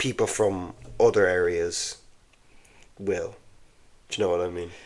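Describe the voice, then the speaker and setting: A man with a Dublin accent talks at a moderate pace. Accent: Irish, Dublin area. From Ireland, east coast near Dublin. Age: 20s. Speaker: comedian. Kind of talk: casual chat. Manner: halting.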